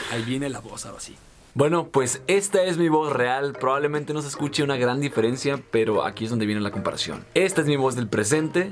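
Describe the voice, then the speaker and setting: Over noticeable background noise, a man speaks at a fairly quick pace with fairly high pitch, ordinary pitch variation and big swings in loudness. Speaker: youtuber and magician. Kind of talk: casual vlog to camera. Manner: talkative.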